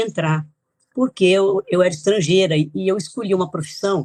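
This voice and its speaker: This woman has an ordinary speaking voice with ordinary pitch variation. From Brazil, São Paulo (born in Italy, moved at 2). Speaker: author and geographer. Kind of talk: interview.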